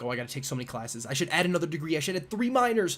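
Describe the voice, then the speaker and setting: Very fast and marked by vocal fry, a man talks with an American accent. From US Northeast (Buffalo, New York). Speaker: physics PhD student, YouTuber. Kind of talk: live stream Q&A. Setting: livestream with camera and mic. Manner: casual, filler-heavy.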